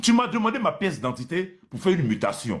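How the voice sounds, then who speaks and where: Vocal fry runs through a man's speech at a moderate pace, and his pitch swings very widely. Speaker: landlord. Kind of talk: live call-in complaint. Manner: soft-spoken, rising in volume; halting.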